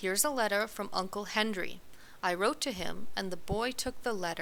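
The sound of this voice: What we hear is an unforced reading voice.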